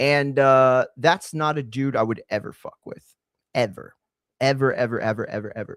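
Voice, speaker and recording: A man with an American accent talks at a medium pitch with ordinary pitch variation and big swings in loudness. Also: moderate pace. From Texas. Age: 30s. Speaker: combat sports commentator. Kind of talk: casual live-stream talk. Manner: halting, many fillers.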